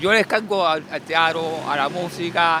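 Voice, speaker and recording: A man speaks in a high voice over noticeable background noise. His pitch varies in an ordinary way. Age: 70s. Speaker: person interviewed on the street. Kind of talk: street interview. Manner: halting, repetitive.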